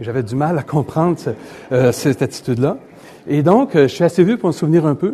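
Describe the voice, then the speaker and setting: A man talks at a fairly quick pace in a fairly high pitch, his somewhat breathy voice dark and mellow with lively intonation. Long pauses come often. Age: 60s. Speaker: economist and newspaper columnist. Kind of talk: lecture. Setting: stage with audience.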